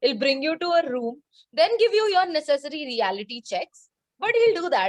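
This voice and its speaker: A woman with a Bengali accent moves through very wide pitch swings. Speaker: book blogger. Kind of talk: casual chat.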